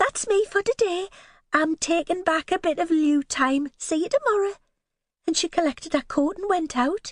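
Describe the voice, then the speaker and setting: A woman puts on a character voice at an extremely high pitch, sounding nervous and shaky, with lively intonation at a moderate pace. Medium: read story. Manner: nervous, trembling.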